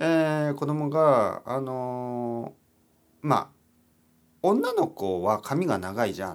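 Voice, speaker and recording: Very wide pitch swings from a man at medium pitch, on a very clean recording against a silent background. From Japan, Oita. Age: 40s. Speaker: Japanese teacher podcaster. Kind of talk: casual solo talk for learners.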